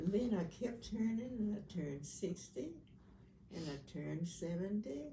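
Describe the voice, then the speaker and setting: Audible room echo surrounds a woman with a Southern US accent, who speaks at a moderate pace with fairly low pitch and lively intonation. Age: 90s. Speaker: family elder. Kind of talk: storytelling.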